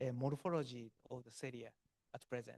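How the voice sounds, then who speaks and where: A man with a Japanese accent, medium in pitch, with fairly even intonation and a dry, close sound with no echo. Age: 60s. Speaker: chemistry professor. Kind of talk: Q&A answer at academic seminar. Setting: hybrid auditorium and Zoom seminar. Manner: halting, many fillers.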